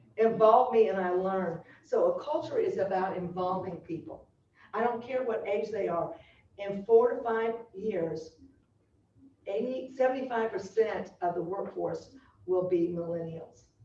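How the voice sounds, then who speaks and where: With audible room echo around it, the voice moves at a fairly slow pace with ordinary pitch variation. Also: woman, medium pitch for a woman. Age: 70s. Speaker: culture strategist and consultant, former high school teacher. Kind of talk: speech at business meeting. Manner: animated.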